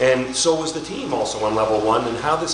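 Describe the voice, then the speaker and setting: Noticeable background noise and audible room echo surround this recording. A man talks at a fairly quick pace with ordinary pitch variation. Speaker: real estate company CEO. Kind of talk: award acceptance talk. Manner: fast; high energy.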